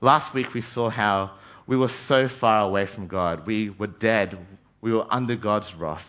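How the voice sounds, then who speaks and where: A man speaks slowly-ish, at a fairly slow pace, with an Australian accent. His fairly low voice shows ordinary pitch variation. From Australia, Brisbane (childhood also in Malaysia and New Zealand). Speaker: trainee pastor. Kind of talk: sermon.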